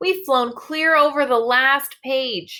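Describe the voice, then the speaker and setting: A put-on character voice at a very slow pace. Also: woman. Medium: read story. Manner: agitated, shouting.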